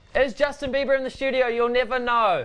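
An upbeat man talks at a moderate pace in a New Zealand accent. His pitch is extremely high, with light background noise behind him. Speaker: radio host. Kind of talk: live TV interview hosting. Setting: radio studio. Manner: upbeat, joking. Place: studio. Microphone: lapel.

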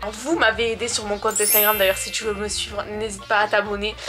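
A woman talks at a moderate pace. Clear music can be heard behind her. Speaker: vlogger. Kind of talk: casual vlog chat. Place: home room. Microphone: phone near.

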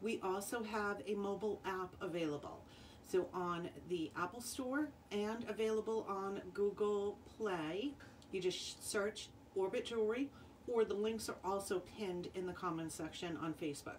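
A woman talks at a moderate pace with ordinary pitch variation. Light background noise is audible. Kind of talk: live sales stream talk. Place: home room. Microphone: phone near.

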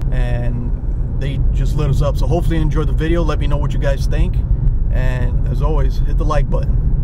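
A man at a fairly quick pace, dry with no echo, against loud background noise. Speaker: fishing vlogger. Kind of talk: casual vlog chat. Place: car. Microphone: phone near.

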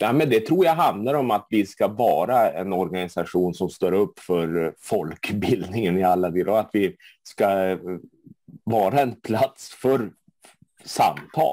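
A man's dark, mellow voice, fairly low in pitch, very slow in pace, with dry sound, no echo and a quiet background. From Sweden, Luleå (Norrbotten); Sweden. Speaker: board candidate, party official; candidate. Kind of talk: interview answers. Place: home room. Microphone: earbuds.

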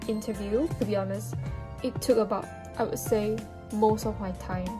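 A woman speaks at a moderate pace. Clear music plays behind her. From Malaysia. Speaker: student. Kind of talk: casual talk to camera. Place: home room. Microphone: phone near.

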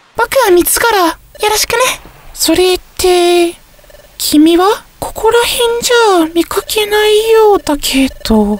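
A man's put-on character voice, extremely high in pitch, at a moderate pace with long, frequent pauses. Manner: bright, then suspicious.

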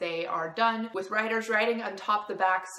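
There is audible room echo as a woman speaks with ordinary pitch variation. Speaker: book vlogger. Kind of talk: casual vlog chat. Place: kitchen. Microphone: phone near.

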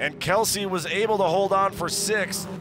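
The tone is animated. Noticeable background noise runs underneath. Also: man. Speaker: race commentator. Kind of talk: live race commentary. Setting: race track broadcast. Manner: animated, fast-paced play-by-play; excitable, urgent, with casual banter.

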